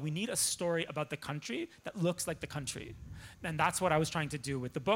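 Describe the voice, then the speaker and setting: A man with a Canadian accent, speaking at a very fast pace. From Toronto, Canada. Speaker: journalist and author. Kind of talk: lecture. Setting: stage with audience.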